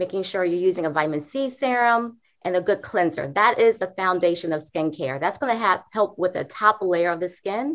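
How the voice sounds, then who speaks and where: A woman speaks at a moderate pace with a medium pitch and lively intonation. It's an ordinary speaking voice on a very clean recording with a silent background. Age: 40s. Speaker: dermatologist. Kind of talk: interview.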